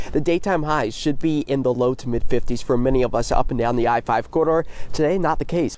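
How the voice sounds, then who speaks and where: A man talks at a fairly quick pace with ordinary pitch variation while music plays in the background. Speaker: television meteorologist. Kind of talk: TV weather broadcast.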